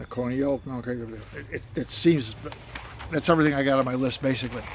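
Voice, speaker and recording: A man's very fast, medium-pitched voice with an American accent, fairly even intonation and noticeable background noise. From United States. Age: 70s. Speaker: missionary. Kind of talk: casual appeal video monologue. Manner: halting, repetitive.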